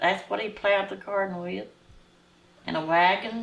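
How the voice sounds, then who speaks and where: A Southern US accent at a fairly slow pace. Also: woman. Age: 80s+. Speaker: former student, oral history interviewee. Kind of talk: interview answer.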